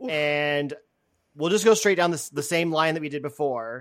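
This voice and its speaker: Heard in a very clean recording with a silent background, a man talks with ordinary pitch variation. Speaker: podcast host. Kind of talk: casual panel chat.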